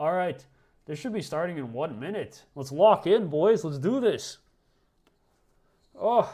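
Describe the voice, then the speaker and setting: Very clean recording with a silent background, a man talking fairly quickly. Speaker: streamer hosting a watchalong. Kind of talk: casual live-stream commentary. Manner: loud; excited, animated.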